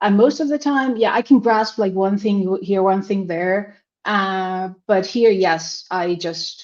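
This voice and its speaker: Speaking at a very slow pace, a woman leaves hardly any pauses. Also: medium pitch for a woman, ordinary pitch variation. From Finland. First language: Finnish. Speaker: language student. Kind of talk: interview. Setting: livestream.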